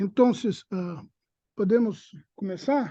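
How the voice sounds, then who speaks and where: Speaking very slowly, a man with a Portuguese accent has a dark, mellow tone. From Brazil. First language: Portuguese (speaking Spanish). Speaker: seminar coordinator, academic moderator. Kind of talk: casual chat; seminar introduction. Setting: video call with auditorium. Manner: halting.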